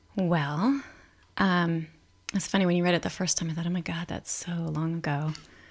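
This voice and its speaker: A woman's plain, everyday voice, fairly low in pitch, at a moderate pace, on a very clean recording with a silent background. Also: ordinary pitch variation. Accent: American. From Los Angeles. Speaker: writer and performer. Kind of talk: casual interview.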